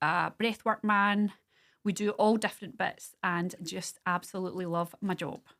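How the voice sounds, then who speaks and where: A woman speaks with a Scottish accent at a medium pitch and a moderate pace, her intonation fairly even. The recording is very clean, with a silent background. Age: 50s. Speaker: small business owner. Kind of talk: casual chat.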